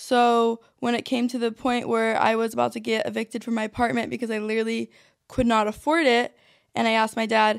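A woman talks at a moderate pace in a fairly high pitch, her intonation monotone and flat. The recording is very clean, with a silent background. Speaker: podcast host and influencer. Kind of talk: solo monologue. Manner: giggly, laughs often.

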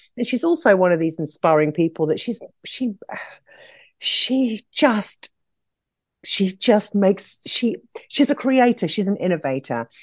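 In an English accent, a woman at medium pitch makes very wide pitch swings and takes long, frequent pauses, with a dry, close sound, no echo, and a quiet background. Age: 50s. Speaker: nail industry entrepreneur. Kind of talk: podcast interview.

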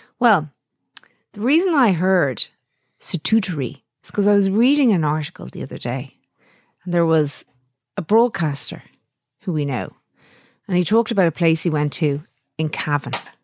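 With an Irish accent, a woman talks with lively intonation at a fairly low pitch, leaving long, frequent pauses, in a very clean, dry, close recording with no echo and a silent background. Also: moderate pace. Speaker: podcast co-host, radio presenter. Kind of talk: casual chat.

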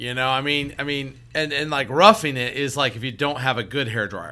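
A loud man with an American accent, fairly high pitch and a bright, sharp tone at a fairly quick pace. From Seattle. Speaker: financial advisor, podcast co-host. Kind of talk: casual chat.

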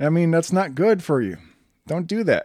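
A fairly high-pitched man with an Upper Midwest accent, lively intonation and a moderate pace. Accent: Upper Midwest American. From Wisconsin. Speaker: podcast host. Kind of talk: devotional podcast monologue. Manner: casual with fillers.

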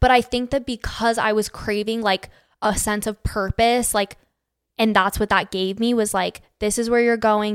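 On a very clean recording with a silent background and a dry, close sound with no echo, a woman with a Western US accent speaks at a moderate pace with a fairly high pitch and flat, monotone intonation. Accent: General American, Western US. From Arizona, Phoenix. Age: 20s. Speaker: social media creator. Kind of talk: casual chat.

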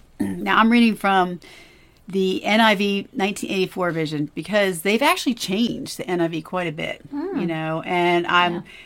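A woman with a medium pitch speaks at a fairly slow pace. Her tone is enthusiastic and her intonation lively. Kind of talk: devotional Bible discussion. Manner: conversational, enthusiastic.

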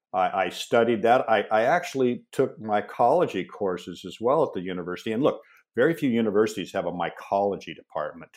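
A man with an American accent talks at a fairly quick pace in an ordinary speaking voice, medium in pitch, with lively intonation and hardly any pauses. The recording is very clean, with a silent background. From US Pacific Northwest, Seattle. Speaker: mushroom company founder. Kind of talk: interview.

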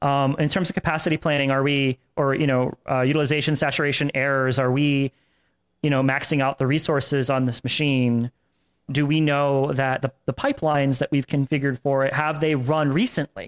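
A man with a Florida accent speaks at a fairly quick pace with a fairly high pitch, very even loudness and monotone, flat intonation. The very clean recording has a silent background and a dry, close sound with no echo. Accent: American (Florida). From Florida, Tampa area. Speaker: tech consultant, former SRE manager. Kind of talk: casual interview chat. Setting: corporate apartment.

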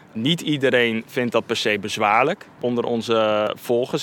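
This man has an unremarkable speaking voice pitched in the medium range. His pace is moderate, and his intonation stays fairly even. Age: 30s. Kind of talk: interview. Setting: at a church.

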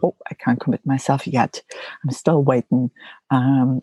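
A woman speaks at a moderate pace in a dark, mellow tone, somewhat breathy, with a dry, close sound and no echo. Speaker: mental wellness podcast host, psychologist. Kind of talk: solo podcast monologue. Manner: hesitant, frequent um fillers.

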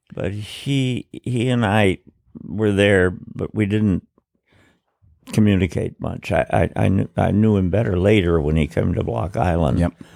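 A man with an American accent talks at a fairly slow pace in a very deep, low voice with lively intonation, recorded very cleanly against a silent background with a dry, close sound and no echo. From New York City. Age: 90s. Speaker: former newspaper owner. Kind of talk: casual interview. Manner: halting.

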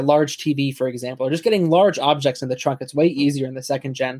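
A normal speaking voice from a man, fairly high in pitch and fairly quick in pace, with ordinary pitch variation. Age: 20s. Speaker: car enthusiast and college student. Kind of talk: casual chat.

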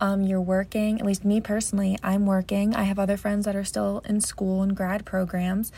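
Speaking with an American accent, a woman has a dark, mellow, somewhat breathy tone, monotone and flat intonation, very even loudness, a moderate pace and hardly any pauses. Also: medium pitch for a woman. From New Jersey. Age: 20s. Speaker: podcast host, premed student. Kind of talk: casual monologue.

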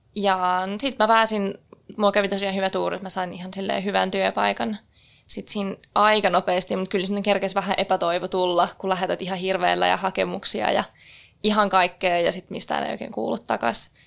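A woman with a plain, everyday voice and a medium pitch speaks at a fairly quick pace with fairly even intonation. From northern Finland, Keminmaa (Sea Lapland). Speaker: hotel worker. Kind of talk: casual chat. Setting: studio.

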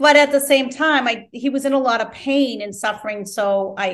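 A woman talks in an ordinary speaking voice at a moderate pace with fairly even intonation. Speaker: guest, life coach and author. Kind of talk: interview, reflective conversation. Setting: Italy, remote call. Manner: spiritual, reflective.

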